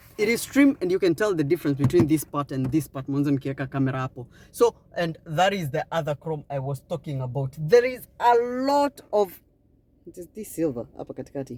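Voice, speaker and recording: Talking at a fairly quick pace, the speaker has an animated tone and a Kenyan accent. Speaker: car reviewer. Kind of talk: product review walkaround.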